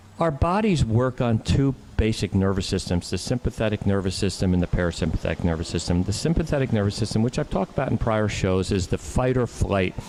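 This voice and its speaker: A man with an American accent talks at a very fast pace with hardly any pauses and lively intonation over noticeable background noise. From New Jersey. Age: 60s. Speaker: doctor. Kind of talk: radio talk show discussion. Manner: halting, many false starts.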